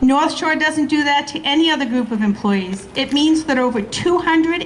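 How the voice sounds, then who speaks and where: A woman with a high pitch and a Boston accent speaks at a fairly slow pace with lively intonation, amid noticeable background noise and audible room echo. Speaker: school support staff union member. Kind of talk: rally speech.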